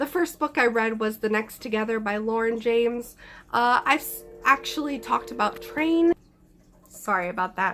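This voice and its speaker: Lively intonation runs at a moderate pace over music in the background. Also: woman, fairly high pitch for a woman. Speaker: book reviewer. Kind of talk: casual talk to camera.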